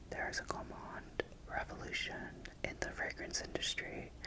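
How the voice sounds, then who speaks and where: A man whispering in a gentle tone at a moderate pace, with noticeable background noise. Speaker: ASMR content creator. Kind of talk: casual talk to camera, fragrance review. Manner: gentle, soft-spoken, whispery.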